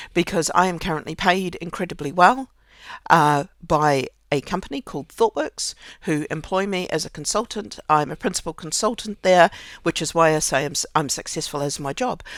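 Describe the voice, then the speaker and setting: A woman with a New Zealand accent speaks at a moderate pace and fairly low pitch, with ordinary pitch variation, in a very clean recording with a silent background. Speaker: podcaster. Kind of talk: casual personal monologue. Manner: halting, with many fillers and repetitions.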